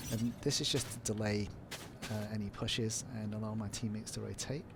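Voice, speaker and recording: A man speaks at a fairly low pitch and a fairly quick pace. His intonation is monotone and flat, with noticeable background noise. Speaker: gamer. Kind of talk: game tutorial commentary. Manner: casual, hesitant with fillers.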